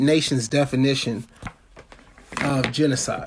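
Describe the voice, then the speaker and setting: A man's moderate-paced speech plays against noticeable background noise. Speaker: activist campaign chair. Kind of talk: political talk. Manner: halting, many repetitions.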